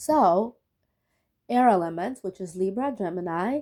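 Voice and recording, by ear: At a fairly slow pace, a woman speaks with lively intonation in a medium-pitched voice that is dark and mellow in tone.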